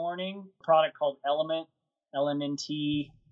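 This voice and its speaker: Here is a man with an unremarkable speaking voice. His pitch is fairly high and his intonation fairly even. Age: 50s. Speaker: ultrarunner and running coach. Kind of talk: interview.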